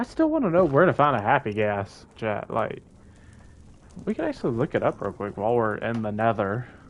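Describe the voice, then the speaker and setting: The background is quiet. A man speaks at a fairly quick pace. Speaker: gaming streamer. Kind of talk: live gameplay commentary. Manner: fast, words get mixed up.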